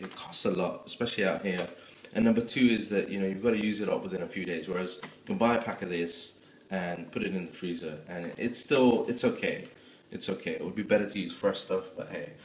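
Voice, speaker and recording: Audible room echo surrounds a man talking at a fairly quick pace. Light background noise is present. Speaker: home cook vlogger. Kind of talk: tutorial. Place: kitchen. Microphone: phone near.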